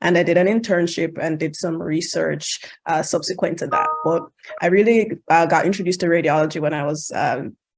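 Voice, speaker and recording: A woman speaks in a Jamaican accent at a fairly quick pace. Her pitch is fairly low and her intonation fairly even. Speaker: international medical graduate, radiology match panelist. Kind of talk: virtual panel talk. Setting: video call.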